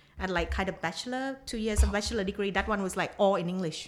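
A woman with a Thai accent. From southern Thailand (Nakhon Si Thammarat). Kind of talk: casual chat. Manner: halting.

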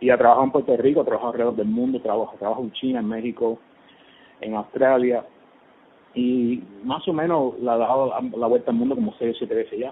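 The man's pitch sits in the medium range with ordinary variation. He speaks at a fairly quick pace. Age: 50s. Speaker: commercial film director. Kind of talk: phone interview. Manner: halting, many repetitions.

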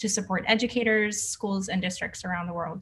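A woman with an American accent speaks in a somewhat breathy voice. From Boston, US. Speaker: podcast host, wellness educator. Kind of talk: interview. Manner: animated.

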